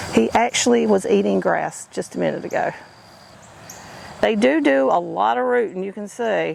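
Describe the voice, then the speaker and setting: Noticeable background noise sits under the speech. The pace is moderate, broken by long, frequent pauses. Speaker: homesteading vlogger. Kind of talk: casual vlog narration. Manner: chatty, informal.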